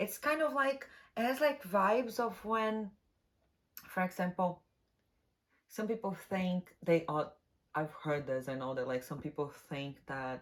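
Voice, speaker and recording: With long, frequent pauses and very wide pitch swings, a woman of medium pitch speaks at a fairly slow pace on a very clean recording with a silent background. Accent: non-native. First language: not English. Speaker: tarot reader. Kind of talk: tarot reading monologue. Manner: casual, halting at times.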